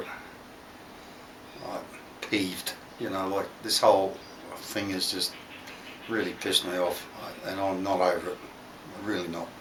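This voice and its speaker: A man with an Australian accent speaks in a relaxed tone. Audible room echo and noticeable background noise fill the recording. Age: 60s. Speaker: DIY workshop YouTuber. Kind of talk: casual workshop vlog. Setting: home workshop. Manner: relaxed, hesitant with fillers.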